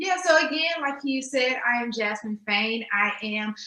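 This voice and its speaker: With a Texas accent, a woman talks at a moderate pace over noticeable background noise. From Texas, Dallas. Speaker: nonprofit strategist and grant writer. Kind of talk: interview.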